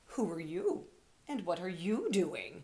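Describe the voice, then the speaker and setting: A put-on, gruff character voice that sounds female comes through with audible echo, a middle pitch and a fairly slow pace. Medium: read story.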